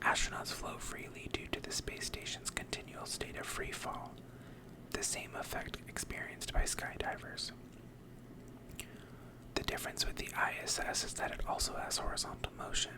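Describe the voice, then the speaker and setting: Someone whispers at a moderate pace with long, frequent pauses against noticeable background noise. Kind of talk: ASMR reading of facts. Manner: whispered.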